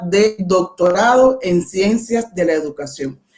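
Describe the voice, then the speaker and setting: With a Cuban accent, a woman talks at a very slow pace with ordinary pitch variation. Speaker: education professor. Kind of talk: lecture.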